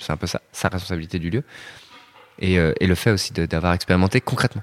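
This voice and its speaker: The speech moves at a fairly quick pace with ordinary pitch variation. The recording is very clean, with a silent background. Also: man. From Rennes, Brittany. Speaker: architect. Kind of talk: interview. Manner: hesitant, many fillers.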